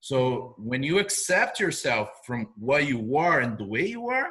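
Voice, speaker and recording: A man speaks with a non-native accent and a bright, sharp tone. His intonation is lively. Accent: noticeable foreign. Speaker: video marketing business owner. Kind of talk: interview.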